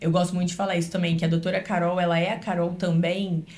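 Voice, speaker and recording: Audible room echo surrounds a woman's fairly low, somewhat breathy voice with a dark, mellow tone. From Brazil, Rio then Minas Gerais (Juiz de Fora). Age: 20s. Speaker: dentist. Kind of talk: podcast interview.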